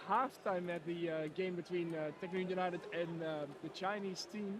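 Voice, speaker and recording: A man with a Dutch accent at a moderate pace and ordinary pitch variation, with audible room echo and noticeable background noise. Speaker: live stream commentator. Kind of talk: live commentary. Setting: robot football arena. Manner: hesitant, many fillers.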